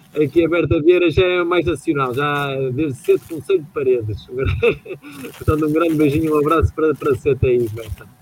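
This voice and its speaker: It is an ordinary speaking voice: a man with a fairly high pitch, ordinary pitch variation and a fairly quick pace. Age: 20s. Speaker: radio host. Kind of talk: radio show.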